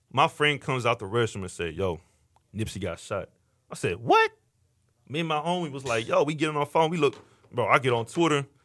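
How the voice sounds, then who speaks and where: With an American accent, a man talks fairly quickly in a fairly high voice with vocal fry, lively intonation and long, frequent pauses. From Houston, Texas (Missouri City). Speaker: podcast host. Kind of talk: casual chat. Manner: animated.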